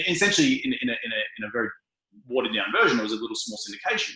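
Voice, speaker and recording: With lively intonation, a man talks in an Australian accent. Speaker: real estate investor. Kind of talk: interview. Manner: fast, many fillers.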